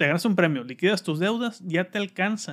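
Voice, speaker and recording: Speaking with a Mexican accent, a man talks at a moderate pace in a high pitch with ordinary pitch variation, recorded very cleanly against a silent background. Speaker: podcast host. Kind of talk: casual chat.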